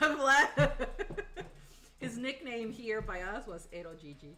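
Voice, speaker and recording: Speaking very slowly, a woman uses a fairly high pitch with very wide pitch swings. Audible room echo and noticeable background noise fill the recording. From northern Mexico. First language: Spanish. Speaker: streamer and content creator. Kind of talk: casual chat on a cooking livestream. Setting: home kitchen livestream. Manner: animated.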